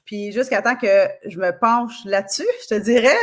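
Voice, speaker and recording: A fairly slow, fairly high-pitched woman's voice in a Quebec accent, with ordinary pitch variation. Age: 40s. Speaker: kinesiologist and osteopath. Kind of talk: podcast interview. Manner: casual, many fillers.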